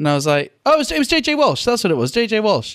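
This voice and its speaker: With a British accent, a man speaks with very wide pitch swings in a dry, close sound with no echo. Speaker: podcast co-host and comedian. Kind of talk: casual chat.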